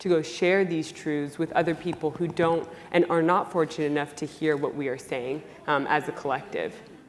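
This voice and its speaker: Fairly low in pitch, a woman with a plain, everyday voice keeps a fairly even intonation at a moderate pace. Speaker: military cadet. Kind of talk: panel discussion. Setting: conference panel. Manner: formal.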